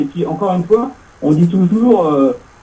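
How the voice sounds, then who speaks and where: With very wide pitch swings, a man speaks at a fairly high pitch. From Paris. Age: 40s. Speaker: radio host. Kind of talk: casual chat.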